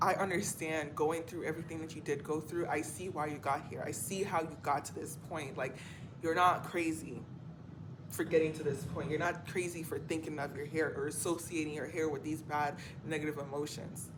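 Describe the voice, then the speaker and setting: A woman talks fairly quickly in a very deep, low voice with monotone, flat intonation. Room echo is audible. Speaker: spiritual coach and vlogger. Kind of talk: motivational monologue vlog. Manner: fast.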